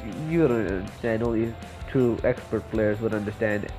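A man's voice sits at a medium pitch. Behind him, music is playing. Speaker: gaming commentator. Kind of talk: casual gameplay commentary. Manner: sarcastic, mock-boastful.

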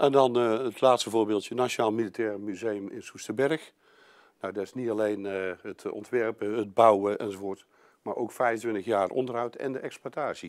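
Against a quiet background, a man talks at a moderate pace with fairly even intonation. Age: 50s. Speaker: construction company sales manager; presenter. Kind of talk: business presentation. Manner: halting, many filler sounds. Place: meeting room.

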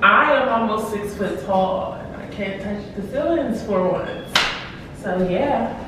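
Audible room echo along with noticeable background noise. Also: woman. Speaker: homeowner vlogger. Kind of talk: casual vlog house tour. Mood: excited, happy. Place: home room. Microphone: phone near.

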